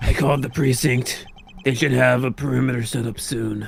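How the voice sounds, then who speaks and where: A put-on character voice from a man, raspy and medium-pitched, at a moderate pace against clear background noise. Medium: fan dub. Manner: dry, deadpan; stammering.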